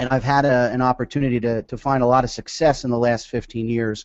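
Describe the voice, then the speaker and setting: The voice is an ordinary speaking voice from a man at medium pitch. He talks at a fairly quick pace. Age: 30s. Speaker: sales director and network marketer. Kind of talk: webinar talk. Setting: webinar.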